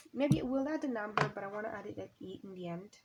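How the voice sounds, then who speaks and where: Over noticeable background noise, someone with a non-native accent speaks at a moderate pace with ordinary pitch variation. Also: woman. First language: not English. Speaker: crafting YouTuber. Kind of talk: casual crafting chat. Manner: halting, many fillers.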